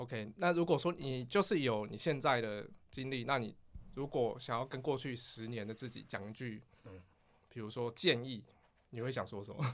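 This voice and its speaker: At a moderate pace and medium pitch, a man speaks with an ordinary speaking voice, ordinary pitch variation and big swings in loudness on a very clean recording with a silent background. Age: 30s. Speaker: podcast co-host. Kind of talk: casual chat.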